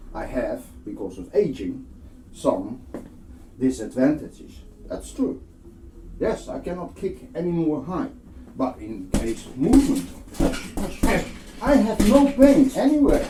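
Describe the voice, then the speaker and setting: A man's high-pitched voice with very wide pitch swings, a fairly slow pace and long, frequent pauses, over noticeable background noise and audible room echo. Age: 60s. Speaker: boxing instructor. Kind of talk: tutorial.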